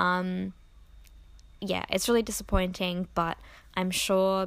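A soft-spoken woman talks at a medium pitch. The recording is very clean, with a silent background. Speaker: podcast host and Patreon creator. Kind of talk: casual solo podcast chat. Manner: filler-heavy, casual.

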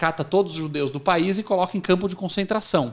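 Delivered with an ordinary speaking voice and ordinary pitch variation, the speech moves at a fairly quick pace on a very clean recording with a silent background. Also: man. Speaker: company CEO. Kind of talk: interview.

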